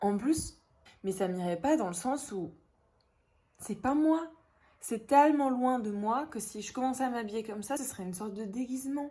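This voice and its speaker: At a moderate pace, a woman speaks in a fairly high, dark and mellow voice with lively intonation, big swings in loudness, and long, frequent pauses. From northern France, Dunkirk. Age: 20s. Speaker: vlogger. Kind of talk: casual vlog talk. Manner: animated.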